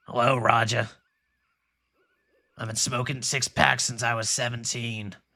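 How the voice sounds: A man puts on a raspy character voice at a medium pitch, moving at a moderate pace with long, frequent pauses.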